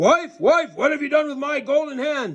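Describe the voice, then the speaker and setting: A man puts on a character voice pitched extremely high. He talks at a moderate pace. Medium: read story. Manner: booming, gruff.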